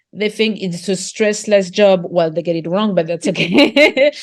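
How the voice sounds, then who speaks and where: Speaking in a French accent at a moderate pace, a woman uses a medium pitch with ordinary pitch variation. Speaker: market gardener and author. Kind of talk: interview conversation. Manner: halting, with repetitions and fillers.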